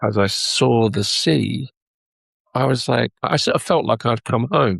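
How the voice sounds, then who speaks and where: A man at a fairly slow pace, very even in loudness, with a dry, close sound and no echo. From England, London. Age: 60s. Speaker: record label owner and musician. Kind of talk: interview conversation. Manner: halting, repeats words.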